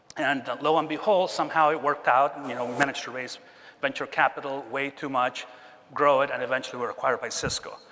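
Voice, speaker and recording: Against noticeable background noise, a man talks at a fairly quick pace in a fairly high pitch. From Chile. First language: Spanish. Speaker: keynote speaker, tech executive. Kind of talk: keynote talk. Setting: stage with audience.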